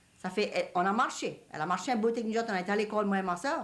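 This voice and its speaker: With a Cajun accent, a woman talks in a fairly high pitch with ordinary pitch variation, and audible echo fills the room. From Louisiana, Cajun country. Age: 60s. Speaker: elderly Cajun woman interviewee. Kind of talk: reminiscing interview.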